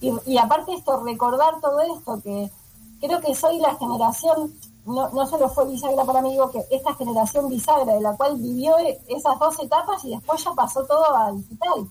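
With a high pitch and ordinary pitch variation, a woman talks at a moderate speed. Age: 40s. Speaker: animator. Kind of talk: interview. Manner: halting.

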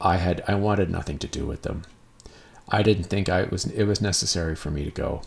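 Very fast and somewhat breathy, a man with a very deep, low pitch speaks in a western Canadian accent. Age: 40s. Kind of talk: casual monologue. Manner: halting.

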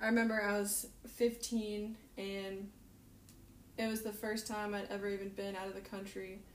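Audible room echo surrounds a woman with an American accent who speaks at a medium pitch and a moderate pace. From US South, North Carolina. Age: 20s. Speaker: missionary. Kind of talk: casual interview chat. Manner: animated.

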